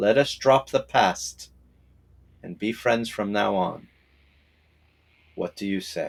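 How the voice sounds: In a put-on character voice, a man speaks slowly with fairly low pitch, vocal fry and ordinary pitch variation.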